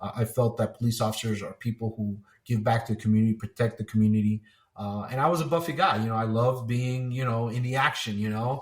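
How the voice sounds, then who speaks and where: A man with an American accent talks at a very fast pace, his pitch medium and his intonation fairly even. His voice is somewhat breathy. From New Jersey, US. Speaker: retired police officer and 9/11 survivor. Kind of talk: interview testimony.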